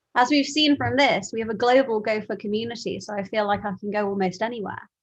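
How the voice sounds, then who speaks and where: Spoken with a London accent, the voice shows ordinary pitch variation. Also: woman. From London, England. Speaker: meetup host. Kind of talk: casual chat. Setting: video call.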